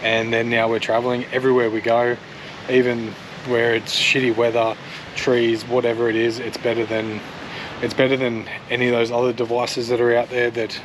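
The delivery is fairly quick, with monotone, flat intonation. Noticeable background noise can be heard. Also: man. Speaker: travel vlogger. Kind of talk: casual vlog chat. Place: open country. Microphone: phone near.

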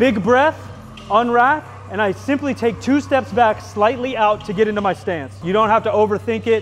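A man speaks at a high pitch and a fairly quick pace, with ordinary pitch variation. Faint music plays in the background. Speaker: fitness coach. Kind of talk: tutorial. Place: gym. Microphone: lapel.

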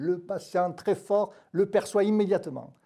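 A man in a southern French accent, dark, mellow tone, quiet background. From southern France. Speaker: pain medicine doctor. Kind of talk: expert panel discussion. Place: studio. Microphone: lapel.

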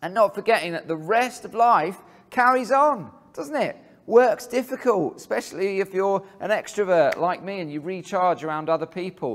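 Behind the moderate-paced speech, the background stays quiet. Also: man. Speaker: speaker. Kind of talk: sermon. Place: hall.

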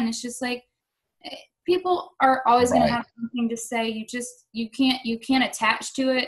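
A woman speaks at a fairly quick pace with a Southern US accent, her pitch high. Her intonation stays fairly even against a quiet background. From North Carolina, Madison-Mayodan area; North Carolina. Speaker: Muay Thai fighter; interviewee. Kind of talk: casual interview. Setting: video call. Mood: relaxed, candid. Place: home room. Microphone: video call.

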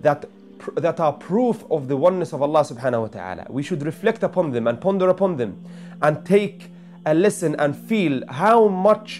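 Faint music sits in the background as a man talks at a moderate pace. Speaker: religious teacher. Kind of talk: religious reflection talk. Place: home room.

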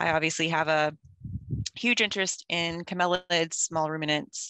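A woman speaks at a very deep, low pitch with a bright, sharp tone and a moderate pace. The sound is dry with no echo, over a quiet background. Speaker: veterinary professor presenter. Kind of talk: lecture. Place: car. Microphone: video call.

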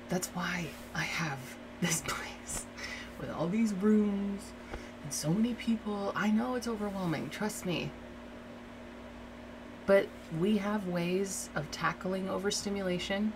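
The speaker is soft-spoken, with a gentle tone and ordinary pitch variation at a fairly slow pace. Long, frequent pauses break up the speech over noticeable background noise. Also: woman. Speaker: ASMR creator doing a roleplay. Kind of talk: asmr roleplay, soothing talk to a listener. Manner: soft, reassuring, gentle. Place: home room.

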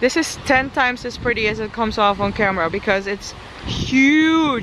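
Noticeable background noise surrounds a woman's high-pitched voice in a dry sound with no echo. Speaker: travel vlogger. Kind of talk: casual vlog chat. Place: street. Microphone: phone near.

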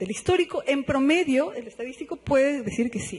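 A man speaks with a slightly mellow tone. Faint background noise can be heard.

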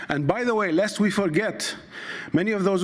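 A man with an Arabic accent, ordinary pitch variation and a moderate pace, against a quiet background. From Iraq (Baghdad). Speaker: poet, novelist and scholar; poet. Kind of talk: conference talk. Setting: stage at a university conference. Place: hall.

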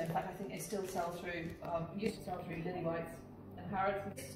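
A woman talks at a fairly quick pace in a fairly low pitch. Audible room echo and clear music can be heard behind her. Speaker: auctioneer and valuer. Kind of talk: presenting auction lots to camera. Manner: enthusiastic. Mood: warm, enthusiastic. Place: shop.

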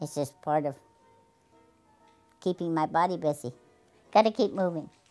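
Faint music plays in the background as a woman with a fairly low pitch talks at a moderate pace with ordinary pitch variation. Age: 80s+. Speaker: tap dancer. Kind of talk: interview. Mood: warm, fond reminiscing. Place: home room.

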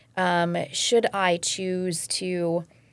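A woman talks with a fairly low pitch. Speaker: podcast host. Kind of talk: interview question. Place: studio. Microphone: studio mic.

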